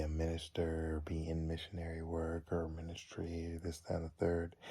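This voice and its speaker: Quiet speech at a fairly slow pace comes through on a very clean recording with a silent background. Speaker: college student. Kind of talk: personal video reflection. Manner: halting.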